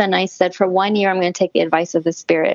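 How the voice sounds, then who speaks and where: A woman speaks with an American accent in a medium pitch. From US Southwest, Arizona. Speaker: shaman, former clinical psychologist. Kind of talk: interview storytelling.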